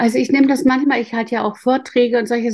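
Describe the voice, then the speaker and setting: A woman with a fairly high pitch speaks in a dark, mellow, somewhat breathy tone, with ordinary pitch variation. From northern Germany. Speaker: intuition coach. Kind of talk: interview.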